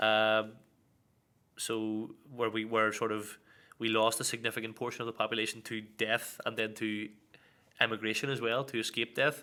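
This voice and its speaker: In an Irish accent, a man speaks at a medium pitch and a moderate pace, with a bright, sharp tone and monotone, flat intonation. He leaves long, frequent pauses, and the recording is very clean with a silent background. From Northern Ireland, Belfast. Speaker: Irish language teaching assistant. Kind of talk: casual interview.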